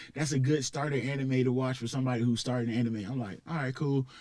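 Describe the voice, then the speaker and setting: With a Southern accent, a man talks at a very fast pace. His medium-pitched delivery is monotone and flat. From US South, Columbus, Georgia. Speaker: rapper. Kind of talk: casual chat. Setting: studio.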